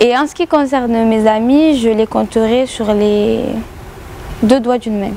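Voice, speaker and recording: Over noticeable background noise, a woman with a southern French accent speaks at a fairly slow pace and a fairly high pitch, leaving long, frequent pauses. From southern France, Béziers. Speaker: rapper and YouTuber. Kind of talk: radio interview. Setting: club venue with radio mic. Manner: many hesitations (euh).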